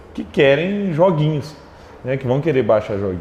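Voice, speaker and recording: A normal speaking voice from a man, pitched fairly high, the intonation lively. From Minas Gerais, Brazil (Triângulo Mineiro, Araguari). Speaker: tech entrepreneur. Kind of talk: interview.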